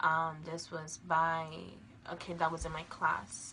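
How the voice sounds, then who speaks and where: A woman with an American accent speaks at a very slow pace, her pitch fairly low. Audible room echo surrounds her voice. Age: 20s. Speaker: abuse survivor. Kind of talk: testimony. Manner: halting, many filler ums.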